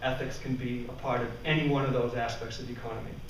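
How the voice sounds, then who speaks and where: The room echo is audible and there is light background noise as a man speaks in a flat monotone. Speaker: conference presenter. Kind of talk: lecture. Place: classroom. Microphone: camera far.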